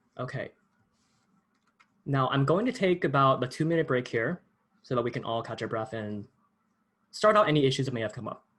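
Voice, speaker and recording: A man at medium pitch speaks fairly quickly with lively intonation, leaving long, frequent pauses. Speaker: workshop instructor. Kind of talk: tutorial. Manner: fast.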